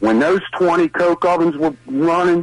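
A man talks in a Baltimore accent at a fairly slow pace. His voice is high-pitched. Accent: Baltimore-area Maryland. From Maryland, Brooklyn Park. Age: 60s. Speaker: caller. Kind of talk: call-in comment. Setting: phone call.

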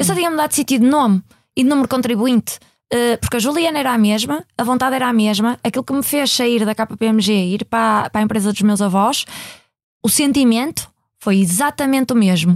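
A woman speaks at a fairly quick pace with a fairly high pitch and ordinary pitch variation, in an unremarkable speaking voice. The recording is very clean and dry, close with no echo, and the background silent. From Portugal, Maia (Porto area). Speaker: company CEO. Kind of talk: interview. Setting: studio.

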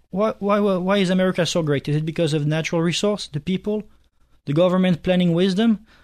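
In a French accent, a man speaks very fast with a high pitch. His intonation is fairly even and the background is quiet. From France, Nice. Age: 20s. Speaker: university student, club president. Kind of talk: talk radio interview. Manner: halting.

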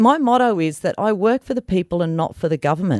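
In an Australian accent, a woman with a fairly low pitch speaks in a passionate tone and lively intonation, the sound dry and close with no echo. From New South Wales, Australia. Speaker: political candidate. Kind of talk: interview.

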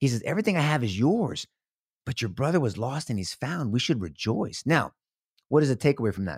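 An American accent with vocal fry and very wide pitch swings at a fairly quick pace, in a very clean recording with a silent background. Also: man, medium pitch for a man. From Texas, San Antonio. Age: 50s. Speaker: former district attorney. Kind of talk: testimony.

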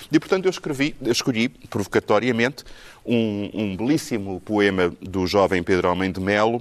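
This man has an ordinary speaking voice, pitched fairly low, at a moderate pace. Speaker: musicologist. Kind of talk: panel discussion.

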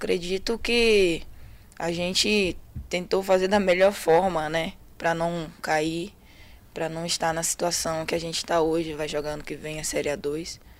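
Fairly slow and fairly even in intonation, a woman talks in an ordinary speaking voice. Her pitch sits fairly low. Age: 20s. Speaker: professional footballer. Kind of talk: interview.

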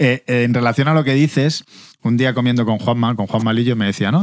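This man has a normal speaking voice. He talks at a fairly quick pace with ordinary pitch variation. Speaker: podcast host, former footballer. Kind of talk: casual chat.

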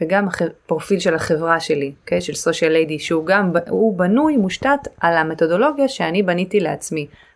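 A woman is speaking. Her pace is moderate. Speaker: digital marketing agency owner. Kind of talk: casual interview. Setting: remote call.

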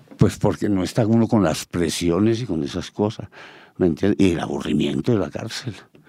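A man speaks at a very deep, low pitch with a dark, mellow tone. He moves at a fairly quick pace with ordinary pitch variation. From Colombia, Caldas. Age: 70s. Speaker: photographer. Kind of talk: interview.

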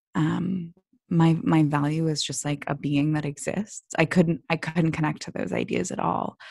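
A woman's very deep, low voice with vocal fry, ordinary pitch variation and a moderate pace, in a dry, close sound with no echo. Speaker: app founder. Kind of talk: casual interview. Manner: calm, soothing.

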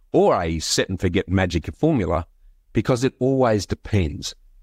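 With an Australian accent and lively intonation, a man at medium pitch talks at a moderate pace on a very clean recording with a silent background. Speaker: podcast host. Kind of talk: interview.

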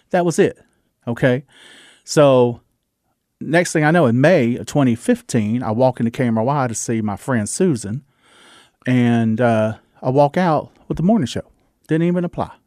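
A man's medium-pitched voice in a Southern US accent, with ordinary pitch variation, a moderate pace and long, frequent pauses, on a very clean recording with a silent background and a dry, close sound with no echo. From US South, Georgia. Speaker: radio DJ and actor. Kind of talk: interview chat. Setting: studio.

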